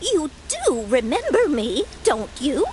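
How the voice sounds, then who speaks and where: A female-sounding, put-on character voice speaks at a high pitch with very wide pitch swings and a fairly slow pace. Background noise is clearly audible. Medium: video game. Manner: chatty, motherly, slightly tart.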